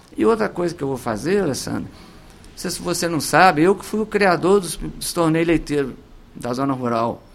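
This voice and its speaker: The speaker goes at a moderate pace. The intonation is lively. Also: man, fairly high pitch for a man. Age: 50s. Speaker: mayoral candidate. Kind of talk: political radio interview. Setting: radio studio. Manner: animated.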